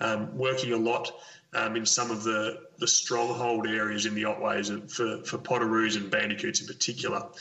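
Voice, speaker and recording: Over noticeable background noise, a man talks at a moderate pace with an Australian accent and lively intonation. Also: medium pitch for a man. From Victoria, Australia. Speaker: conservation ecologist. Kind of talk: interview. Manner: halting, many fillers.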